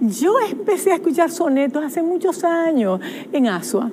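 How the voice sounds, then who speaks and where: A woman talks at a fairly slow pace with lively intonation. Faint music plays in the background. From Dominican Republic. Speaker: poet and psychologist; poet. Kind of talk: TV interview. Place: studio. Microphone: lapel.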